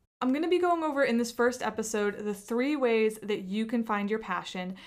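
A woman with a normal speaking voice talks fairly quickly at a fairly high pitch. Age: 30s. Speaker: podcast host and entrepreneur. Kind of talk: solo podcast monologue.

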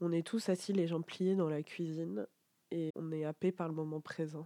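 A woman speaks in a fairly low register with a dark, mellow tone. The sound is dry and close with no echo, and her pitch varies in an ordinary way. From France, small provincial town. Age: 20s. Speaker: podcast host. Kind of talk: casual monologue. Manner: casual, spontaneous.

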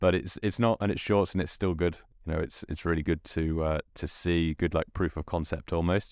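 On a very clean recording with a silent background, a man speaks in a very deep, low pitch. His pitch variation is ordinary. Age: 20s. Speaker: YouTuber and podcast host. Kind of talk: solo casual monologue.

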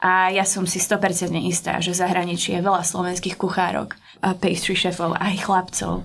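Speaking at a moderate pace, a woman uses a medium pitch, monotone, flat intonation and vocal fry, on a very clean recording with a silent background. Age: 30s. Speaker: pastry chef. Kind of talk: casual interview.

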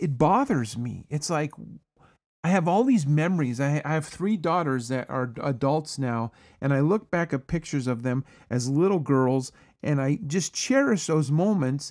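With a plain, everyday voice, a man talks at a moderate pace in a fairly high pitch with lively intonation. The recording is very clean, with a silent background. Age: 50s. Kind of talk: religious solo podcast talk.

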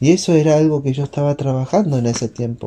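This man's voice is fairly high in pitch, somewhat breathy, with a dark, mellow tone. He keeps a moderate pace. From Uruguay. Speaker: missionary. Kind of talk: devotional talk.

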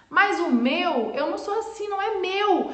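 Very wide pitch swings are heard over noticeable background noise and audible room echo. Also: woman. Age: 40s. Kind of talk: motivational live stream talk. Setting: live video stream.

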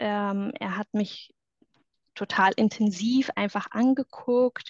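A woman speaks at a very slow pace in a fairly high voice. The sound is dry and close with no echo, over a quiet background. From southwestern Germany, near Stuttgart. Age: 30s. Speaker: former reality TV contestant. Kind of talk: testimony interview. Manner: hesitant, many filler sounds.

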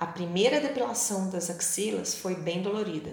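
Here a woman talks with lively intonation. Noticeable background noise is present. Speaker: blogger. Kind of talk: scripted narration.

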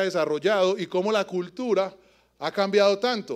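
A man speaks in an Antioquian accent at a moderate pace. His pitch is high. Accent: Colombian paisa Spanish. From Colombia, Antioquia (Yarumal, raised in Medellín). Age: 40s. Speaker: preacher. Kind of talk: sermon. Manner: animated.

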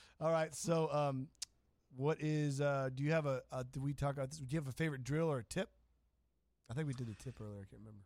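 A very fast man with a fairly high pitch, ordinary pitch variation and big swings in loudness. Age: 40s. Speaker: podcast host. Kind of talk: interview. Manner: animated.

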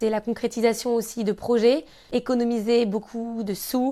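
A woman with a fairly high pitch and fairly even intonation has an unremarkable speaking voice. The recording is very clean, with a silent background. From Normandy, France (Caen). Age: 20s. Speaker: handbag designer and entrepreneur. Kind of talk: interview conversation. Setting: her showroom.

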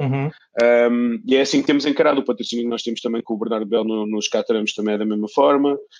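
Very fast speech from a man, with fairly even intonation. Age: 40s. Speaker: sock brand founder. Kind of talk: casual interview. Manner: hesitant, with many repetitions.

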